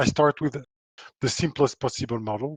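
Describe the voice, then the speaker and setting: In a strong French accent, a man with a medium-pitched voice speaks at a moderate pace with ordinary pitch variation, the sound dry and close with no echo. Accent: thick French. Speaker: power electronics engineer and author. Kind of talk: technical presentation. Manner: hesitant, many fillers.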